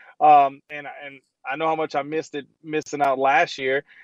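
At a moderate pace and a fairly high pitch, a man speaks with fairly even intonation in a dry, close sound with no echo. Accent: Louisiana. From Louisiana. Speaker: former football player, radio host. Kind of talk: casual chat. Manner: hesitant, filler-heavy.

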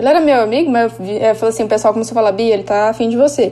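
There is noticeable background noise behind a woman's voice. She speaks at a fairly high pitch with ordinary pitch variation. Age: 30s. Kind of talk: casual chat.

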